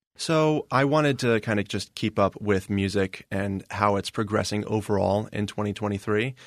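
A man with an American accent has a plain, everyday voice at a fairly low pitch. The background is quiet. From Indiana. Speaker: music journalist. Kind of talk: interview.

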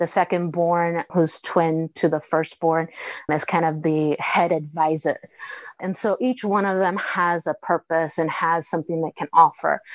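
A woman with an American accent and an ordinary speaking voice talks at a fairly slow pace, with fairly low pitch and fairly even intonation. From Mexican American family, US. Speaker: writer. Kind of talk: interview.

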